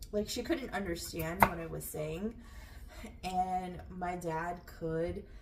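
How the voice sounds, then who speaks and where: A woman talks at a very slow pace and fairly low pitch, with fairly even intonation. Noticeable background noise and audible room echo fill the recording. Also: big swings in loudness. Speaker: home cooking video host. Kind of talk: cook-along vlog chat. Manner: casual with frequent fillers.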